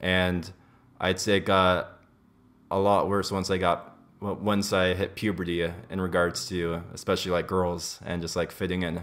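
The speaker has an American accent and a moderate pace. Intonation stays monotone and flat. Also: man, very deep, low pitch for a man. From US, Los Angeles. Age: 20s. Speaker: podcast guest. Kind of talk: casual chat. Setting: kitchen. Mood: candid, relaxed. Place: home room.

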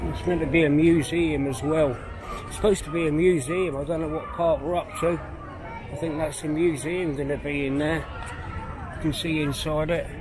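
With crowd noise in the background, a man speaks at a moderate pace in a fairly high pitch, leaving long, frequent pauses. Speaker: walking tour vlogger. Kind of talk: casual walking commentary. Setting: outdoors. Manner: subdued, not upbeat. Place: street. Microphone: phone near.

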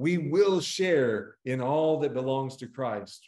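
The background is quiet as a man speaks. Room echo is audible. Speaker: pastor. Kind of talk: scripture reading. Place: church. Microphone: webcam.

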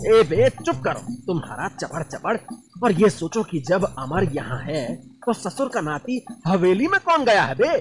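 Over background music, a man shouts in a gruff, put-on character voice that is high-pitched for a man, at a moderate pace. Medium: cartoon. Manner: gruff, panicky, shouting.

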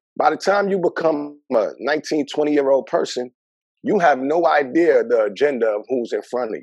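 A man talks at a moderate pace in a New York accent. The sound is dry with no echo, and the background is quiet. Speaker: mental health worker; podcast guest. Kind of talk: interview. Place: home room. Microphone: video call.

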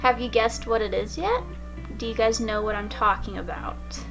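Behind a woman's speech, music plays faintly. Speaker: YouTuber. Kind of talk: casual talk to camera. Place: home room.

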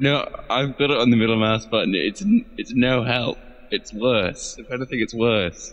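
A plain, everyday voice from a man, medium in pitch, at a moderate pace with ordinary pitch variation. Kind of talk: casual podcast chat.

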